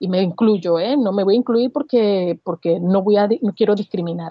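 A woman talks in an ordinary speaking voice. Her fairly high pitch carries lively intonation. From Venezuela, Barquisimeto. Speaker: advertising professional. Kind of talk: interview conversation.

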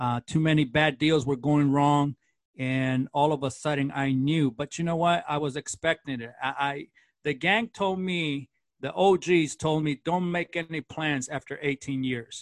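A man with an American accent and a normal speaking voice, fairly high in pitch and fairly slow, with ordinary pitch variation and a dry, close sound with no echo over a quiet background. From East Los Angeles, US. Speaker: TV host. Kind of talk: interview, personal testimony.

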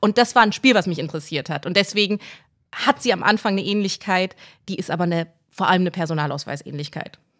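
A woman talks at a very fast pace with lively intonation and a medium pitch. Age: 30s. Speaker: novelist and journalist. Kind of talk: interview.

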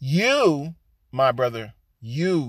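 On a very clean recording with a silent background and a dry, close sound without echo, a man of medium pitch speaks at a very slow pace. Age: 60s. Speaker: preacher. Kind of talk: sermon. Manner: repetitive, emphatic.

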